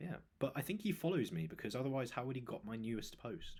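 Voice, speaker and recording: With vocal fry, a man speaks at medium pitch and a fairly quick pace, his pitch swinging very widely. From southern England. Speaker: fitness coach and podcast host. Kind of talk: casual chat. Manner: animated.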